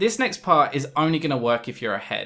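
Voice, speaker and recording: A man speaks with a British accent at a moderate pace. His tone is bright and sharp. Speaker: gaming tutorial youtuber. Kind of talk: tutorial. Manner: casual, humorous.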